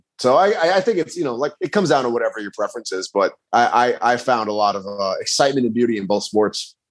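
With hardly any pauses, a man rattles along at a very fast pace. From Rhode Island. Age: 30s. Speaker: fitness YouTuber. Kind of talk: casual chat.

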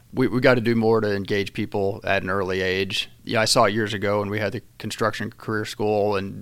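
A man with a Midwestern American accent speaks at a fairly quick pace in a fairly low pitch. His intonation is flat and monotone. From southeastern Illinois, rural. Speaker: construction company executive. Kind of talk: casual interview.

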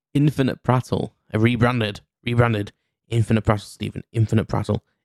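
This speaker talks at a moderate pace in a Cheshire accent. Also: man. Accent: northern English (Cheshire). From England, Cheshire. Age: 40s. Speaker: podcast host. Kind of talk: casual solo monologue. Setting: mum's kitchen. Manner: hesitant, many fillers.

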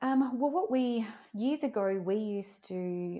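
This woman has an Australian accent and a dark, mellow tone with lively intonation. The recording is very clean, with a silent background. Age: 30s. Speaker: business owner. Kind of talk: interview.

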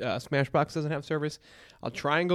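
Over a silent background, a man speaks with an American accent on a very clean recording. His fairly high pitch carries fairly even intonation. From New York. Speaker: disc golf podcast co-host. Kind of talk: casual chat. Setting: live stream from hotel room. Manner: loud.

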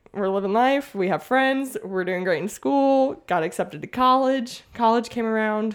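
A woman with an American accent and an unremarkable speaking voice talks at a moderate pace with hardly any pauses, her fairly high pitch carrying lively intonation in a very clean recording over a silent background. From US South, Mississippi. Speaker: teacher and podcaster. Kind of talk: testimony.

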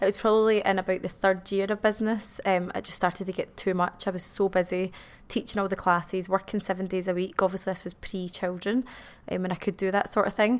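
Speaking very fast with a Glasgow accent, a woman holds a medium pitch in a monotone, flat intonation. The recording is very clean, with a silent background. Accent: Scottish (Glasgow). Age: 30s. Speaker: dance school owner. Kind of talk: interview.

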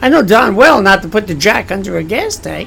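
There is noticeable background noise here. A man talks at a moderate pace. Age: 60s. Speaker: pastor. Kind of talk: sermon-style talk. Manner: conversational.

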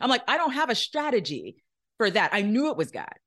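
With vocal fry and an American accent, a woman talks at a fairly quick pace over a quiet background. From Florida. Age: 40s. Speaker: author and entrepreneur mentor. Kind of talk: interview.

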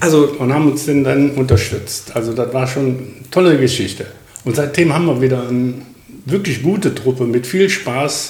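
Over noticeable background noise and audible room echo, a man talks at a medium pitch with ordinary pitch variation. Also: moderate pace. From Krefeld-Oppum, Lower Rhine, Germany. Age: 70s. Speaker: retired welder and rifle club officer. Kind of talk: casual interview.

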